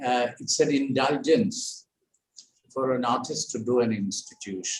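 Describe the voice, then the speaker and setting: A somewhat breathy man at a fairly slow pace. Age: 80s+. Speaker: artist and founder chairman of an art center. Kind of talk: welcome speech. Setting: video call. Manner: halting.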